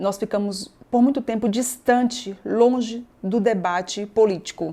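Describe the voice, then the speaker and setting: Very clean audio with a silent background carries the voice. Its tone is dark and mellow, and its pitch varies in an ordinary way. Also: woman. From Bahia, Brazil (Northeast). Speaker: state government secretary, politician. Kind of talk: interview conversation.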